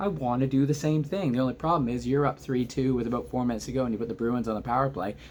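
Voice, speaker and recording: Quiet but animated and excited, a man talks at a very fast pace with lively intonation. His voice has a medium pitch. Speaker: hockey fan commentator. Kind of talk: casual reaction video. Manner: quiet, subdued volume; animated, excited.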